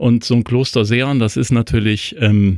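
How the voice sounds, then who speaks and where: A man talks with ordinary pitch variation, the sound dry and close without any echo. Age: 50s. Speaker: newspaper editor-in-chief. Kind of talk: casual political discussion. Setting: remote call between two cities. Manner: hesitant, many fillers.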